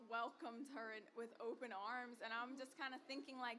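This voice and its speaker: With an American accent, a woman talks at a moderate pace and a high pitch against noticeable background noise. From United States. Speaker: makeup artist and magazine creative director. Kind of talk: casual podcast interview.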